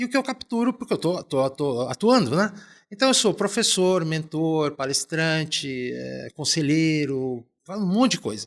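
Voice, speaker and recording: The recording is very clean, with a silent background. A man speaks fairly slowly at a fairly high pitch, with very wide pitch swings. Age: 60s. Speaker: business executive and professor. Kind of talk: podcast interview. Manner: hesitant, repeating words.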